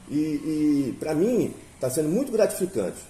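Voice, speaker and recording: His pitch rises and falls across a very wide range as the man speaks at a very slow pace. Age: 60s. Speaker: interviewer. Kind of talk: interview. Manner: halting, with many fillers.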